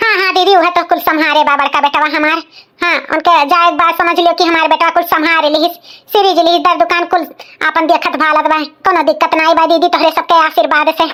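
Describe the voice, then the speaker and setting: A woman's cartoonish character voice at an extremely high pitch, monotone and flat in intonation, fairly quick in pace, with very even loudness. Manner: soft-spoken, meek.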